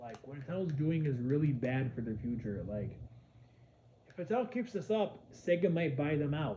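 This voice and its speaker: A man with a fairly high, somewhat breathy voice talks at a fairly quick pace. Room echo is audible. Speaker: gaming commentator. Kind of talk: casual rant vlog. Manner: halting, many repetitions; animated.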